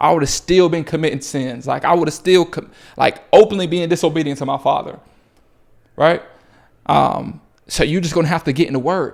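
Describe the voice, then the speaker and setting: Over a silent background in a very clean recording, a man speaks with vocal fry and ordinary pitch variation. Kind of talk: motivational faith talk to camera. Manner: fast; animated.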